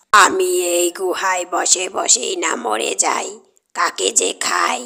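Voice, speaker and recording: In a cartoonish character voice that sounds female, the speaker rasps along at a very slow pace. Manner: muttering, greedy, menacing.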